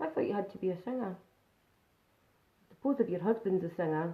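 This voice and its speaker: With a Scottish accent, a woman speaks using lively intonation. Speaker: makeup vlogger. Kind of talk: live makeup tutorial. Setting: live stream. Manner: casual, chatty.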